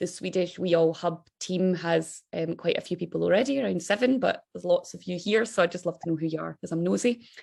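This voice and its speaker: A woman with a strong Scottish accent, fairly low in pitch with vocal fry, very fast, hardly any pauses, and ordinary pitch variation. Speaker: think tank director. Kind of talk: webinar presentation. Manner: fast when excited.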